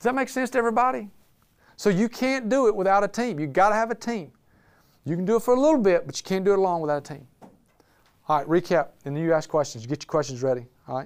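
With a Southern US accent, a man speaks very fast in a high pitch and an animated tone. His pitch swings very widely, and he takes long, frequent pauses. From Alabama, Birmingham. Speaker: business owner and speaker. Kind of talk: talk to a live audience. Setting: room with live audience.

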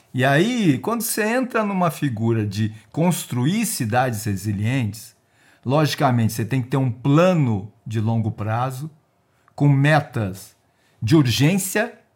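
A somewhat breathy man at a fairly slow pace, his pitch swinging very widely, on a very clean recording with a silent background. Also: medium pitch for a man. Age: 60s. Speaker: retired risk analyst and geoscience researcher. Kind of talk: casual interview.

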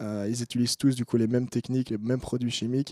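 Fairly even in intonation, this man's voice sits at medium pitch with a dark, mellow tone. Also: dry, close sound with no echo. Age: 20s. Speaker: student cannabis grower. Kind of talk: interview.

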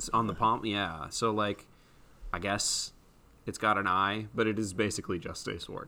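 A man with a normal speaking voice keeps a moderate pace, a fairly low pitch and fairly even intonation, in a very clean recording with a silent background. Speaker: podcast co-host. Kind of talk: casual chat.

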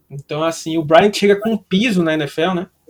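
With a Pernambuco accent, a man talks in a high pitch with fairly even intonation. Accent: drawling Brazilian accent, Pernambuco-style. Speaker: sports podcast co-host. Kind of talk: casual chat.

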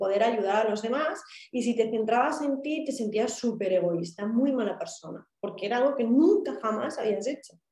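A woman speaks with a fairly high pitch and a dark, mellow tone. Her pitch variation is ordinary. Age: 30s. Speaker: therapy client sharing her story. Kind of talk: personal testimony in interview.

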